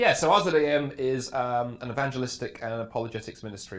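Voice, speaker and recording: A man with a British accent speaks with ordinary pitch variation amid audible room echo. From England. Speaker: apologetics speaker. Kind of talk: interview. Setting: backstage at a conference.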